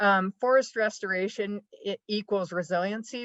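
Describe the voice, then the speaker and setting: A woman of medium pitch speaks in a plain, everyday voice with fairly even intonation. The sound is dry and close, with no echo. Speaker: conservation organization director. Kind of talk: panel presentation.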